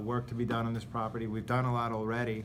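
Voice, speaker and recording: A man's voice of medium pitch carries audible room echo. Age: 40s. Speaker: condo board president. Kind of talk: meeting chairing.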